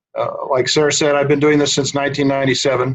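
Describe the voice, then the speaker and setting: The speaker has a New England accent and sounds somewhat breathy. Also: man. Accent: American (Yankee). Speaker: research scientist. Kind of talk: webinar presentation. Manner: soft-spoken.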